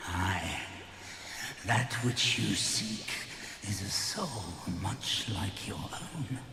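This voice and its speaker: Over loud background noise and clear echo, a man uses a put-on character voice, fairly low in pitch, speaking at a very slow pace with long, frequent pauses. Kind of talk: archaic epic fantasy speech. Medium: machinima. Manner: grave, slow, archaic.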